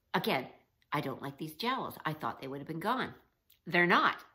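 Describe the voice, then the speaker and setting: Bright and sharp in tone, a woman's voice shows vocal fry. Her pitch swings very widely. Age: 60s. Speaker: vlogger. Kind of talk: casual vlog talk.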